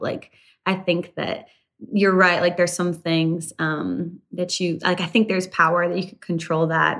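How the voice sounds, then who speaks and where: In an ordinary speaking voice, a woman with a Canadian accent talks at a moderate pace and a medium pitch. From rural Canada. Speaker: country singer. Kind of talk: interview.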